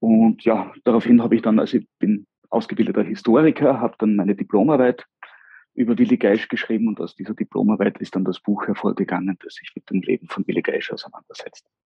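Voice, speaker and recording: Talking at a very fast pace, a man shows big swings in loudness. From southern Styria, Austria (Mureck). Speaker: local politician and historian. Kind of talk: interview. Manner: hesitant, many filler sounds.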